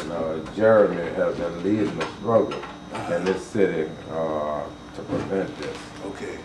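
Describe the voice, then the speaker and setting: A man's very deep, low voice at a moderate pace with fairly even intonation, over noticeable background noise. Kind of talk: informal explanation. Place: office. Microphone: camera far.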